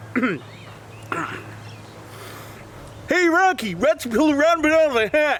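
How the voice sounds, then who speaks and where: A put-on character voice at a fairly slow pace with long, frequent pauses, over clear background noise. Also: man, extremely high pitch for a man. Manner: put-on, comic, playful.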